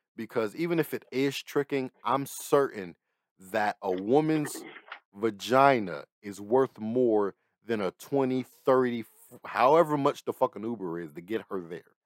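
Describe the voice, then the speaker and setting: In a very clean recording with a silent background and a dry, close sound with no echo, a man with an ordinary speaking voice talks at a medium pitch and a fairly slow pace. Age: 20s. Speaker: podcast host. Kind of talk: casual chat.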